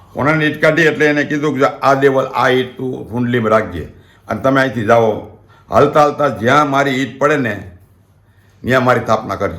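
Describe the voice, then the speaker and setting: Medium-pitched male voice with ordinary pitch variation and audible room echo. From Gujarat, Rajkot district (Saurashtra). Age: 60s. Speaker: community elder and storyteller. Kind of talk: oral history storytelling. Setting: at home.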